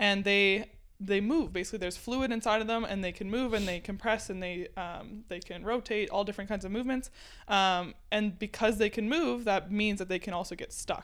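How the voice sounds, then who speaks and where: In a normal speaking voice, a woman talks at a fairly quick pace on a very clean recording with a silent background. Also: medium pitch for a woman, ordinary pitch variation. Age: 20s. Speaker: chiropractic student. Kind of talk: casual chat.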